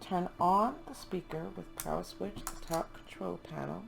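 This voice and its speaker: Music in the background behind a woman's very slow speech. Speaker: homeschool teacher. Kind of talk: casual product review to camera.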